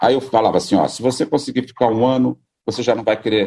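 A man's very fast speech with vocal fry, a dark, mellow tone and a Rio accent. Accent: Brazilian Portuguese (Carioca), unchanged. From Brazil, Rio de Janeiro. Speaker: radio founder and former broadcaster. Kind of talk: interview, casual reminiscing.

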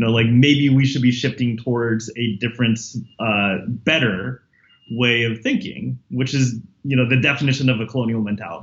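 A somewhat breathy man speaks with an American accent and fairly even intonation. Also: medium pitch for a man, moderate pace. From San Jose, California (US). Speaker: history professor. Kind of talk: interview. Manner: halting, many fillers and repetitions.

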